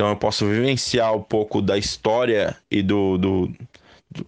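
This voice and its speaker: A man at a fairly low pitch and fairly slow pace against a quiet background. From Brazil, São Paulo city. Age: 30s. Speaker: football fan. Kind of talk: recorded testimony.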